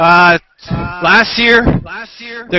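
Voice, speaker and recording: A high-pitched man's voice with a French-Canadian accent. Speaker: citizen reporter at a street protest. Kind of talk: live street reporting. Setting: outdoors at a street protest. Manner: halting. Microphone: laptop with 4G stick.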